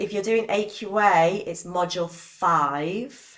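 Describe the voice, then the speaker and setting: A woman with a British accent, medium in pitch, with ordinary pitch variation. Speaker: biology teacher. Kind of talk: live online lesson. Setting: live stream.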